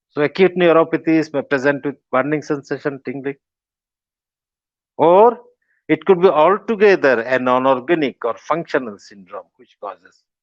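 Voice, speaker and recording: In a Bengali accent, a man speaks at a fairly high pitch with ordinary pitch variation, his voice dry and close with no echo over a quiet background. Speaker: professor of medicine. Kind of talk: lecture. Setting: webinar.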